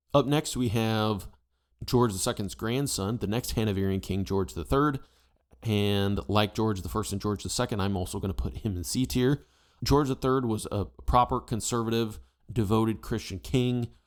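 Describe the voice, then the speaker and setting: In an ordinary speaking voice, a man with an American accent talks at a moderate pace and fairly low pitch, with ordinary pitch variation, on a very clean recording with a silent background. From United States. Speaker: history YouTuber. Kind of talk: casual opinion commentary.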